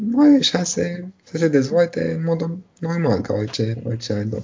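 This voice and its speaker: Somewhat breathy and fairly high-pitched, this man swings his pitch very widely. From Romania, Bucharest. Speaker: doctor. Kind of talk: interview. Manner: halting.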